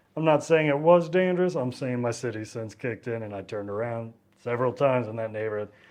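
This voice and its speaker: A man talks at a very fast pace in a Texan accent. His pitch is medium with ordinary variation. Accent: Texan Southern US. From East Texas, near Louisiana. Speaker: travel vlogger. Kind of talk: casual travel vlog monologue. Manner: casual with frequent repetitions and false starts.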